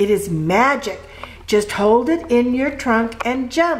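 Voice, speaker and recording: A woman puts on a character voice, high in pitch with a warm tone. She speaks at a fairly slow pace over clear background noise. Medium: read story. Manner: warm, encouraging.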